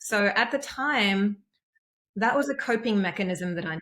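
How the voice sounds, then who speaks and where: Speaking with a strong Australian accent, a woman uses a medium pitch and lively intonation. She talks at a fairly slow pace with long, frequent pauses. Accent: heavy Australian. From East Germany, then Australia from age nine. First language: German. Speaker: empowerment coach. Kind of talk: interview testimony. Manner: hesitant, many fillers.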